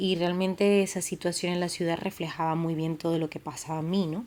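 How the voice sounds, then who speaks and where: With a Canarian accent, a woman speaks at a fairly low pitch in a flat monotone, in a very clean recording with a silent background. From Canary Islands, Tenerife. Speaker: podcast host. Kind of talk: personal storytelling podcast. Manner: casual, with many fillers.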